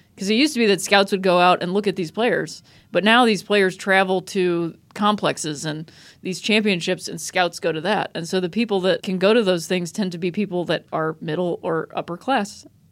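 A woman with an American accent talks in an unremarkable speaking voice at medium pitch and a moderate pace. Her pitch variation is ordinary, and the recording is very clean with a silent background. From Akron, Ohio, US Midwest. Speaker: comedian and TV writer. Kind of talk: casual chat.

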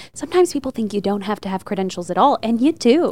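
A woman with an unremarkable speaking voice talks at a medium pitch in a very clean recording with a silent background. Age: 30s. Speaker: broadcast meteorologist. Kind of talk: casual chat.

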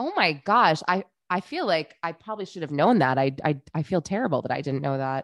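A woman's plain, everyday voice, a plain, everyday voice at a fairly low pitch, with lively intonation and a fairly quick pace. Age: 30s. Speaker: podcast co-host. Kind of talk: casual chat.

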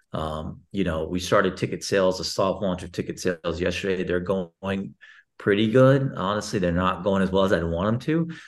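Against a quiet background, a man speaks with an American accent at a moderate pace. His pitch is very deep and low, with ordinary variation. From Texas. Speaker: sports league CEO. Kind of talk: interview.

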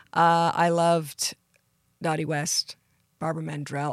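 A woman with a Canadian accent, in a dry, close sound with no echo on a very clean recording with a silent background. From Canada, British Columbia (Surrey). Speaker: country singer. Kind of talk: casual interview. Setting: studio. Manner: animated.

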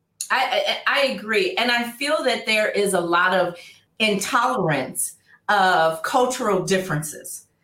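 A woman with an American accent, at a fairly high pitch and fairly slow pace, lively intonation, very even loudness, and audible room echo. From Oakland, California. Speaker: relationship expert. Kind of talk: interview.

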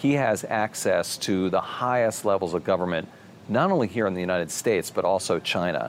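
In a normal speaking voice, a man speaks fairly quickly at a fairly low pitch, with ordinary pitch variation and very even loudness. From Maryland. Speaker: business journalist, interview host. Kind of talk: interview.

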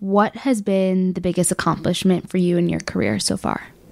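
With an American accent, a woman talks at a fairly quick pace in an unremarkable speaking voice, medium in pitch with ordinary pitch variation. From Chicago. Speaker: podcast host. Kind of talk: interview.

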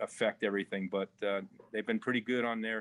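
The speech moves at a fairly quick pace. Its intonation stays monotone and flat. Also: man. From Long Island, New York. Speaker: race team owner. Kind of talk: casual interview. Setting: remote from the shop.

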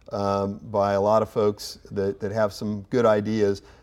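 A man speaks in a fairly low voice with a Midwestern American accent and a monotone, flat intonation. The recording is very clean, with a silent background. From Indiana (Kokomo). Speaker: booster organization executive. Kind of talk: interview.

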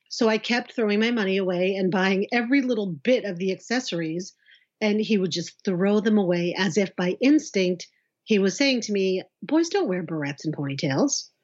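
Speaking at a moderate pace, a woman has a normal speaking voice, a medium pitch and lively intonation. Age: 40s. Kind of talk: casual interview. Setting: at home, in her son's bedroom.

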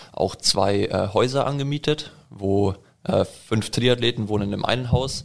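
Using a plain, everyday voice, a man talks fairly slowly with fairly even intonation. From Allgäu, Bavaria, Germany. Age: 20s. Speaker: triathlete. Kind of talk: interview.

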